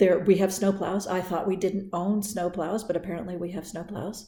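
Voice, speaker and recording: A woman's somewhat breathy voice, medium in pitch, with a dark, mellow tone and monotone, flat intonation. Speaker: vlogger. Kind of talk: casual vlog. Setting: outdoors. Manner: halting.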